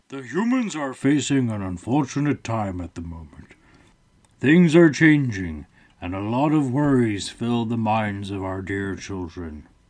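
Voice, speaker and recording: A man puts on a character voice with medium pitch, talking at a moderate pace. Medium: read story. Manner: calm, measured.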